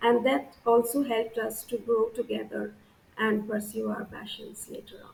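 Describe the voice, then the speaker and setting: A woman speaks at a moderate pace with a fairly high pitch and a monotone, flat intonation. Her loudness swings a lot, and there is noticeable background noise. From India, Assam. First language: Bengali. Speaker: scientist. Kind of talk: interview monologue on career. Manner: frequent hesitations (uh).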